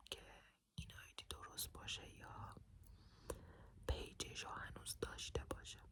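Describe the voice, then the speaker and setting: A whisper, delivered very slowly. Each word is drawn out at a crawl. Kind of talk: ASMR personal story for sleep. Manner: soft-spoken.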